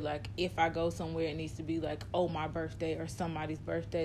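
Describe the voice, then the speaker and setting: With vocal fry and a very deep, low pitch, a woman speaks at a moderate pace amid audible room echo. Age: 30s. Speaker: podcast co-host. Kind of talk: casual chat.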